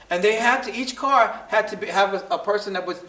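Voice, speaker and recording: Lively in intonation, a man with a high pitch speaks in a Brooklyn accent over noticeable background noise. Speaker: historian speaker in post-show discussion. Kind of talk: panel talk. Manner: halting, many repetitions.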